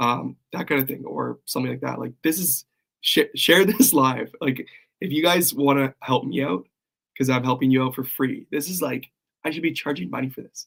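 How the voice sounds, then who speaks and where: This man's voice carries vocal fry. He talks at a moderate pace with ordinary pitch variation. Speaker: copywriting coach. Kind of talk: livestream. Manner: casual, halting.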